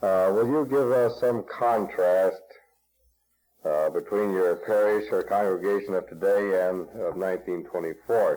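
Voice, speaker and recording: Keeping his loudness very even, a man talks at a fairly slow pace. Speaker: oral history interviewer. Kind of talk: interview. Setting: library recording session. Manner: halting.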